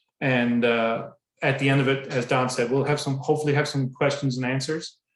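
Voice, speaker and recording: With a Newfoundland accent, a man speaks at a fairly quick pace in a monotone, flat intonation at a medium pitch. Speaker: public works director. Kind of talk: presentation. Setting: online presentation.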